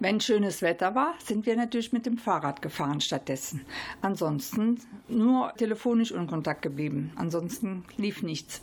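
Somewhat breathy female voice of medium pitch with very wide pitch swings. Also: moderate pace. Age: 70s. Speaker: fitness trainer. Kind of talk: interview.

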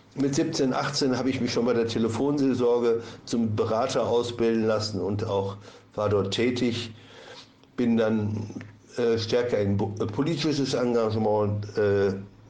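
Amid audible room echo, a man at a medium pitch speaks at a fairly slow pace with fairly even intonation, very even loudness, and long, frequent pauses. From Ostwestfalen, Germany. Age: 60s. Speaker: addiction therapist. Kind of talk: interview. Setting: studio.

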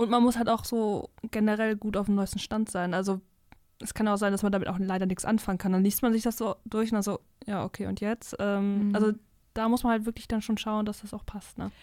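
The speech comes quickly in a flat monotone, recorded very cleanly against a silent background. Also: woman, fairly high pitch for a woman. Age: 20s. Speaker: university student and book reviewer. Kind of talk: casual book discussion. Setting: studio.

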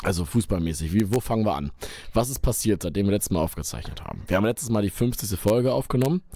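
At a very fast pace, a man with a fairly low pitch speaks in a dark, mellow tone with lively intonation. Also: very clean recording, silent background. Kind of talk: casual chat. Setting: studio.

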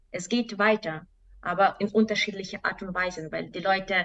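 Someone with a Belarusian accent speaks at a moderate pace with fairly even intonation. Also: woman. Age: 20s. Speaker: activist. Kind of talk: interview. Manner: halting.

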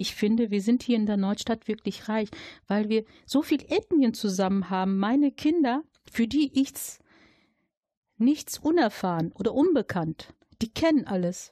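Against a quiet background, with a dry, close sound and no echo, a woman with a fairly high pitch and a dark, mellow tone speaks at a fairly slow pace, somewhat breathy, with long, frequent pauses. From Germany, Dortmund (Ruhr area). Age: 40s. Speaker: local election candidate and social worker. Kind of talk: interview.

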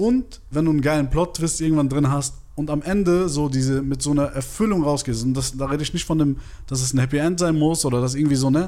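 A man rushes along at a very fast pace, his fairly high voice varying in pitch in an ordinary way. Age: 30s. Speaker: film podcast co-host. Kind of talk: casual chat.

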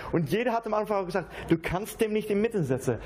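A man speaks at a very fast pace with a Dutch accent over noticeable background noise. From Netherlands. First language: Dutch (speaking German). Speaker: acoustic musician. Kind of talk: casual interview. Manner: halting.

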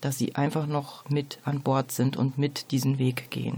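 A woman speaks at a fairly slow pace. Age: 40s. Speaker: hospice coordination manager, social worker. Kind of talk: radio interview. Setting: radio studio. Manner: formal.

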